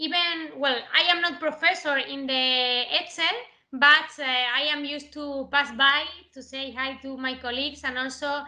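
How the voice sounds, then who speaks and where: A woman with an Andalusian accent speaks fairly slowly at a high pitch with fairly even intonation, her loudness swinging widely amid audible room echo. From southern Spain (Andalusia). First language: Spanish. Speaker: mathematics professor. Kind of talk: lecture. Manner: halting, many fillers.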